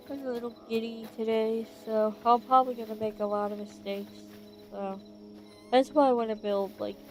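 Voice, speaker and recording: Over music in the background, a woman with a fairly high pitch speaks at a moderate pace in a monotone, flat intonation, her loudness swinging widely. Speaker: gaming streamer. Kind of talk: casual gameplay commentary. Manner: quiet; calm.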